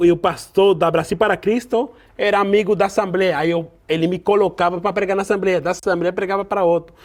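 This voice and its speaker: A man talks at a moderate pace. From Venezuela. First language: Spanish (speaking Portuguese). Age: young. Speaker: pastor. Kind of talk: casual interview chat. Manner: halting, with repetitions.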